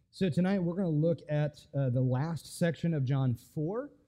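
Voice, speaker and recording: A man at a moderate pace with ordinary pitch variation against a quiet background. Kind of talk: lecture. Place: church. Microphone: headset.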